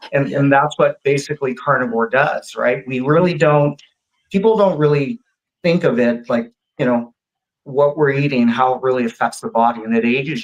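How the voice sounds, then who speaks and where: This man speaks at a moderate pace in a plain, everyday voice, with fairly high pitch and ordinary pitch variation. His loudness swings widely. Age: 50s. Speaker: diet coach. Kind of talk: casual interview chat. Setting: live video stream.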